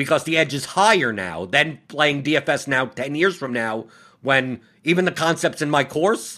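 A man's fairly high, bright, sharp voice with vocal fry at a moderate pace, in a very clean recording with a silent background. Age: 40s. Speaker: podcast host. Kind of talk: casual chat.

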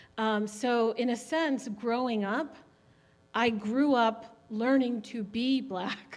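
At a very slow pace and with fairly even intonation, the speaker uses an American accent, with audible room echo. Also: woman, fairly high pitch for a woman. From US, Haitian parents. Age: 40s. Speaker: church member panelist. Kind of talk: panel discussion. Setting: church service.

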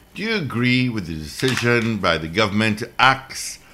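A man's fairly low voice with very wide pitch swings, set against noticeable background noise. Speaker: radio host. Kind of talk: call-in show. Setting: radio studio.

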